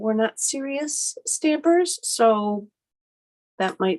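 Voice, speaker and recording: A woman with an ordinary speaking voice talks at a fairly high pitch with lively intonation. The sound is dry and close with no echo, and the background is quiet. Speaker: craft demonstrator, stamping consultant. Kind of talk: live stream craft tutorial. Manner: casual, filler-heavy.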